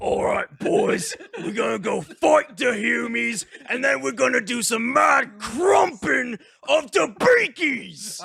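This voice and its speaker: In a Cockney accent, a man puts on a gruff character voice at an extremely high pitch and a fairly slow pace. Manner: rowdy.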